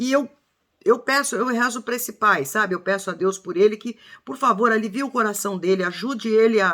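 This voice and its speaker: In a fairly high pitch, a woman with a bright, sharp tone speaks at a fairly quick pace with ordinary pitch variation. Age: 60s. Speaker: true crime commentator. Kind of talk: casual video commentary. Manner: emotional, halting with false starts.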